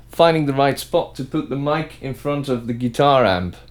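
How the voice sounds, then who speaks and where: A man with a Dutch accent at a moderate pace. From Netherlands. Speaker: musician. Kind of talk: tutorial.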